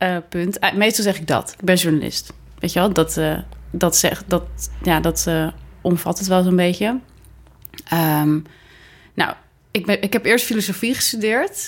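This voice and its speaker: A woman's voice with vocal fry, a fairly slow pace and long, frequent pauses, on a very clean recording against a silent background. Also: medium pitch for a woman, ordinary pitch variation. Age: 20s. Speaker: podcast co-host, freelance journalist. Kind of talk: casual chat. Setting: home living room turned studio.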